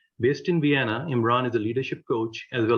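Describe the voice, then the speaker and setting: A man speaks at a fairly quick pace in a medium-pitched voice. His delivery is somewhat breathy. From Pakistan. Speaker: vlog host. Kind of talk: interview.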